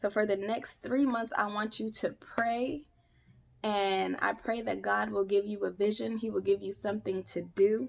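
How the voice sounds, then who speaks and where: The woman's pitch is medium, with ordinary variation. She speaks at a fairly slow pace. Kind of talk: devotional talk. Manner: animated.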